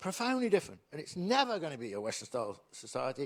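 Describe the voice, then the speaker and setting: The speaker is a man with a high voice. He talks at a very fast pace. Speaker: author and political commentator. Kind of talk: keynote lecture. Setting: lecture theatre with audience.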